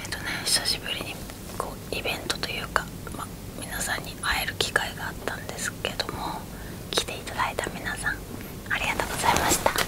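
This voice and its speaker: Her voice is a whisper. She moves along fairly quickly. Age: 30s. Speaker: ASMR creator. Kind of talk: ASMR bedtime chat. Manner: whispered. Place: home room.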